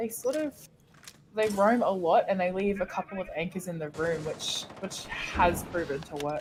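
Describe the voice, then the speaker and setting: A woman's medium-pitched voice with lively intonation at a moderate pace, over music in the background. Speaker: esports caster. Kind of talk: live commentary. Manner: not very loud.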